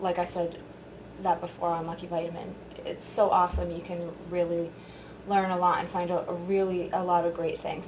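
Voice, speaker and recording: A woman speaks in a flat monotone with long, frequent pauses, with audible room echo and noticeable background noise around her. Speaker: beauty vlogger. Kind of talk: product review tutorial. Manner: casual, filler-heavy.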